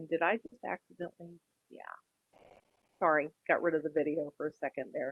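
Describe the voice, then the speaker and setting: A woman with an American accent speaks at a fairly quick pace but leaves long, frequent pauses. Her very deep, low voice has fairly even intonation and big swings in loudness. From US South, South Texas. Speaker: college speech instructor. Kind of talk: lecture.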